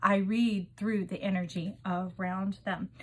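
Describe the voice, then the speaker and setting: On a very clean recording with a silent background, a woman speaks in a somewhat breathy voice. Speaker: tarot reader. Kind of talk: intuitive tarot reading. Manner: fast; animated.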